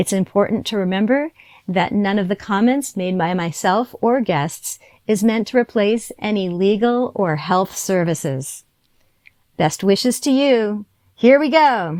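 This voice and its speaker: A woman with an ordinary speaking voice speaks at a medium pitch. Her pace is fairly slow and her intonation lively. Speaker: podcast host, fitness trainer. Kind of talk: podcast intro.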